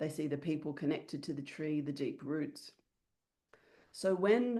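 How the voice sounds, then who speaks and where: With an Australian accent, a woman speaks at a very deep, low pitch. Her tone is dark and mellow, with vocal fry and a moderate pace. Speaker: business mentor. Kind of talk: online workshop.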